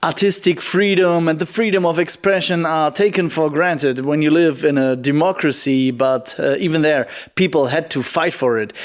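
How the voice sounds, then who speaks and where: Pitch varies in an ordinary way as the talking proceeds at a moderate pace. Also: man. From Germany. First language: German. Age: 20s. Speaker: poetry slammer and climate activist. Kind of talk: prerecorded video keynote. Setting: recorded remotely in Germany.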